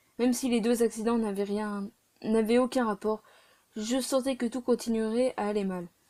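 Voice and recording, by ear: The background is quiet as someone reads aloud in a natural voice, intonation fairly even.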